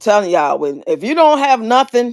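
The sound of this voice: A woman is speaking. Her tone is slightly mellow.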